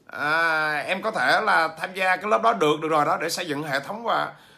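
His tone comes across bright and sharp. The man's voice is raised and projected. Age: 40s. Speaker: business trainer and author; business trainer. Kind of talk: livestream talk to viewers. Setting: livestream. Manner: hesitant, many fillers. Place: home room. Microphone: phone near.

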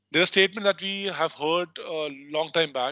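Speaking at a fairly quick pace with an Indian accent, a man with a high pitch and a bright, sharp tone keeps a fairly even intonation, recorded dry with no echo against a quiet background. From North India. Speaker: legal research software trainer; trainer. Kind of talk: online training tutorial. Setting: video call. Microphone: video call.

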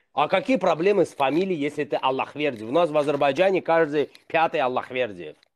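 Here a man talks at a fairly quick pace with hardly any pauses. His pitch moves an ordinary amount. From Azerbaijan. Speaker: blogger. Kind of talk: casual chat. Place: home room. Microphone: video call.

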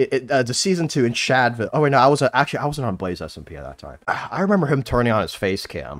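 Very fast and animated, a man talks with very wide pitch swings and vocal fry. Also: medium pitch for a man. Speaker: podcast host. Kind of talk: casual chat.

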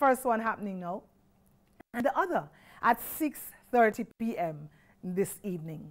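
Against a quiet background, a woman speaks. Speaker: church broadcast announcer. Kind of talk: broadcast announcements. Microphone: lapel.

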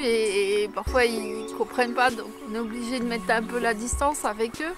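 A woman's voice sounds dry with no echo, with clear music in the background. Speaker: crafts vlogger. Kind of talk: casual vlog chat. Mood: reflective, a bit wry. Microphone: phone near.

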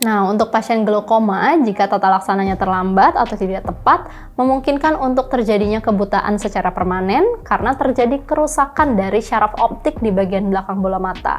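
This woman speaks at a fairly quick pace with hardly any pauses. Her pitch varies in an ordinary way. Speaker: presenter. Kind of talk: health explainer. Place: studio. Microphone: lapel.

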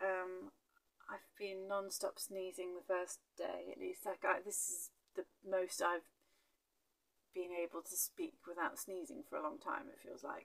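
There is a woman's voice here. She talks at a fairly slow pace. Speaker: travel vlogger. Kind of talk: casual vlog chat. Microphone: phone near.

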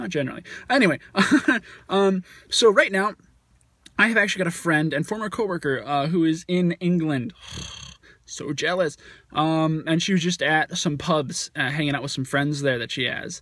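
A man's high voice with ordinary pitch variation at a moderate pace, the sound dry with no echo over a quiet background. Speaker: vlogger. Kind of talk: casual vlog chat. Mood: playful, chatty. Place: car. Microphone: phone near.

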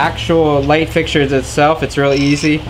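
A man talks over noticeable background noise. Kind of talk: tutorial. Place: garage. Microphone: camera far.

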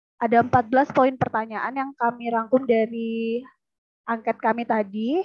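A woman speaks in a normal speaking voice at a fairly high pitch. The sound is dry with no echo, and the background is quiet. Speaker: lecturer. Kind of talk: conference presentation. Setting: video call. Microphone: video call.

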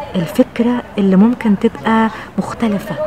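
Recorded dry with no echo, a woman speaks with an Egyptian accent over noticeable background noise. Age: 50s. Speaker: TV presenter and journalist. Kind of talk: personal reflection to camera. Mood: warm, reflective. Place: garden. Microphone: phone near.

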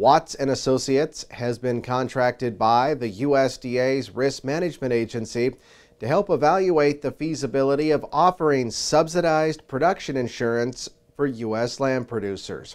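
A man speaks at a moderate pace in an unremarkable speaking voice, medium in pitch, against a quiet background. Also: ordinary pitch variation. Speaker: agriculture news reporter. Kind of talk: news reading. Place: studio.

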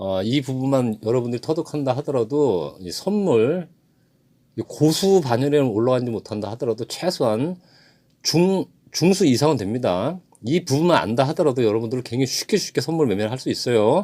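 A man of medium pitch talks at a moderate pace in a dark, mellow tone with lively intonation. The recording is very clean with a silent background. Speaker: trading instructor. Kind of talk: lecture.

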